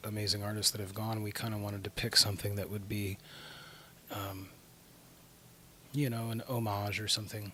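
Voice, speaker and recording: A soft-spoken man talks in a fairly low, monotone voice with flat intonation. Noticeable background noise sits behind him. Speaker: rock band vocalist. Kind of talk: interview.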